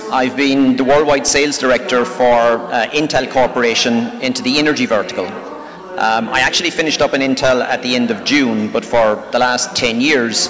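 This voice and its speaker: In an Irish accent, a man speaks at a medium pitch with ordinary pitch variation, very even loudness and hardly any pauses. Noticeable background noise runs underneath. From Ireland. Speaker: technology sales executive. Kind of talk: panel talk. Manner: fast.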